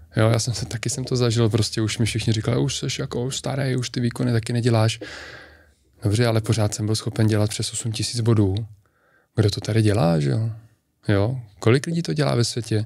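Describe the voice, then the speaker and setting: Somewhat breathy, a man talks at a medium pitch. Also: ordinary pitch variation, fairly quick pace. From Czech Republic, near Turnov. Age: 30s. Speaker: decathlete. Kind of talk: interview.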